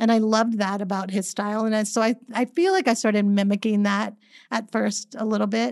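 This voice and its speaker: The woman's pace is fairly quick. She keeps her intonation fairly even. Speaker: floral designer and business owner. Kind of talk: interview.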